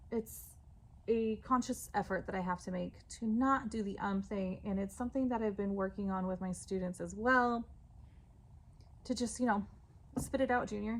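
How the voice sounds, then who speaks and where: A woman speaks at a medium pitch and a moderate pace, somewhat breathy. Her intonation stays fairly even, broken by long, frequent pauses. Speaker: schoolteacher and vlogger. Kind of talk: casual vlog. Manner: monotone; frequent filler 'um'.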